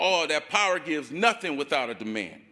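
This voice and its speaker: A man speaks in a raised, projected voice with a bright, sharp tone. His delivery is animated and moderately paced. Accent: American. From Ohio, Akron. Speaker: community organizer, activist. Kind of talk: rally speech. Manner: impassioned, animated.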